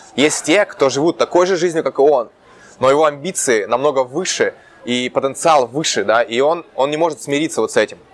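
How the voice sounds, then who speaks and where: A man with a fairly high pitch talks at a fairly quick pace with ordinary pitch variation, against noticeable background noise. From Russia, Urals (Chelyabinsk region). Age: 20s. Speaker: entrepreneur. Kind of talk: interview. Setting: Santa Monica, California.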